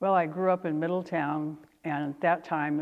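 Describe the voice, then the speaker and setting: A woman talks at a moderate pace in a very deep, low pitch. Her intonation is monotone and flat. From Northern California, Lake County. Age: 70s. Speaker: oral history interviewee. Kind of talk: oral history interview. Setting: auditorium. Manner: hesitant, many fillers.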